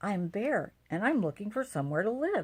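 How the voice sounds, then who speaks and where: A put-on character voice, female-sounding and medium in pitch, in a very clean recording with a silent background. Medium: read story.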